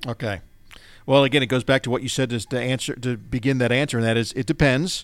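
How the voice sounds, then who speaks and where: Very fast delivery with fairly even intonation on a very clean recording with a silent background. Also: man, medium pitch for a man. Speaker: radio host. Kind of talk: radio show Q&A. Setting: studio.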